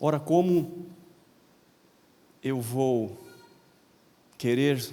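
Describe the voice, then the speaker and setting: A man talks with lively intonation. There is audible room echo around his voice. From Paraná, Brazil (Londrina). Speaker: pastor. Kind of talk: sermon. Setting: convention center with congregation.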